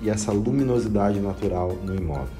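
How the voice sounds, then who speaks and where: Clear music sits in the background. A man with a fairly low pitch speaks at a moderate pace. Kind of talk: property tour commentary. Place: home room. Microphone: phone near.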